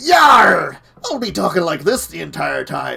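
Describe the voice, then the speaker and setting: Here a man does a raspy, put-on character voice. He keeps to a moderate pace. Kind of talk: playful, exaggerated.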